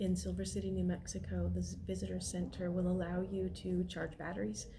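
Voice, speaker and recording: A woman speaks quietly at a moderate pace. There is noticeable background noise. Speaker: van life vlogger. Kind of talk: casual talk to camera. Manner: low-key, quiet.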